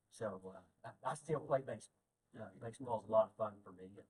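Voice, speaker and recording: A man with an American accent speaks at a medium pitch in a somewhat breathy voice. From Oklahoma. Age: 60s. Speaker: guest speaker at men's breakfast, retired IT worker. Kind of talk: testimony talk. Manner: halting, repeats words.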